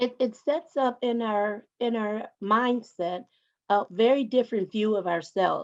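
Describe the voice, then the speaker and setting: A woman talks in a normal speaking voice, fairly high in pitch, with ordinary pitch variation. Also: fairly slow pace. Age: 60s. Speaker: panelist. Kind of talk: panel discussion.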